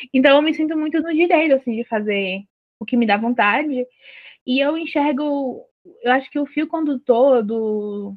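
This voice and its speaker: With long, frequent pauses, a woman speaks at a moderate pace with ordinary pitch variation. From Ceará, Brazilian Northeast (Juazeiro do Norte, Cariri). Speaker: writer and poet. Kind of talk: interview.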